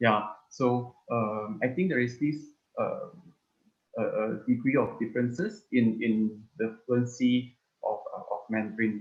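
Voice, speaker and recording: A man speaks fairly slowly with a Malaysian accent. His medium pitch shows ordinary variation. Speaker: speaker on culture and heritage. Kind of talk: online talk Q&A. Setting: video call. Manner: hesitant, many fillers.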